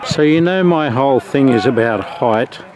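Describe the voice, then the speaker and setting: Over noticeable background noise, a man with an Australian accent speaks at a moderate pace and medium pitch. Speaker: father and videographer. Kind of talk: casual vlog commentary. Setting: outdoors at sports ground.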